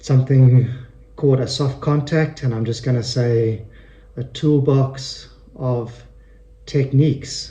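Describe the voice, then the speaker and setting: Speaking at a fairly slow pace with long, frequent pauses, a man uses a medium pitch and monotone, flat intonation in a somewhat breathy voice with a dark, mellow tone. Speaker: person who stutters. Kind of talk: radio interview answer. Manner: stutters.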